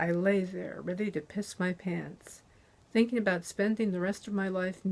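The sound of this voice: This unforced reading voice keeps its intonation fairly even.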